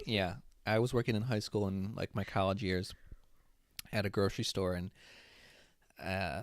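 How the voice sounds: A low-pitched man at a moderate pace, fairly even in intonation, on a very clean recording with a silent background.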